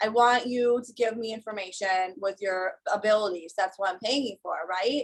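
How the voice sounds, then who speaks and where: A woman with an unremarkable speaking voice talks at a moderate pace. Her pitch varies in an ordinary way. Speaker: psychic medium. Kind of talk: casual, conversational.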